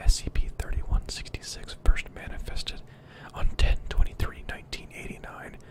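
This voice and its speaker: Noticeable background noise sits under a whisper. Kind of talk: softly spoken ASMR reading of a horror story. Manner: soft-spoken, quiet.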